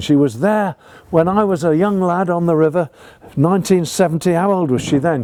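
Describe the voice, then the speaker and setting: This man's voice is high-pitched, with a dark, mellow tone. He speaks at a moderate pace. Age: 70s. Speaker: sailing author and vlogger. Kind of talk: casual talk to camera. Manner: animated.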